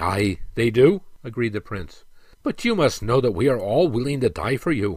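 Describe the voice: This is plain reading aloud. The text is read plainly and aloud.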